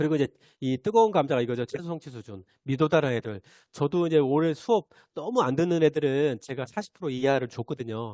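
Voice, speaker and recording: A man talks at a very fast pace, with a fairly high pitch and a dark, mellow tone. The sound is dry and close with no echo against a quiet background. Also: lively intonation. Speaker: teacher giving teacher training. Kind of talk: online training lecture. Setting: video call. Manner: hesitant fillers.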